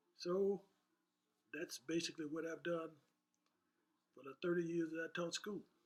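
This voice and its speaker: A man with a Southern US accent, high pitch and monotone, flat intonation, at a moderate pace with long, frequent pauses and big swings in loudness. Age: 80s+. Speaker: retired woodshop teacher. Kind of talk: interview answer.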